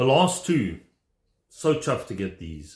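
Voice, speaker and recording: A man with vocal fry speaks at a medium pitch in an enthusiastic tone, his pitch swinging very widely, on a very clean recording with a silent background. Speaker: vinyl record collector. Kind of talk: casual video vlog. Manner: fast.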